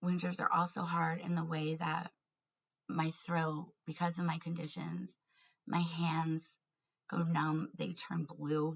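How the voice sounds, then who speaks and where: Somewhat breathy and monotone, with flat intonation, a woman speaks at a very slow pace. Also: fairly low pitch for a woman. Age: 40s. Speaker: vlogger and family court advocate. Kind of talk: personal vlog monologue. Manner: hesitant with fillers and restarts.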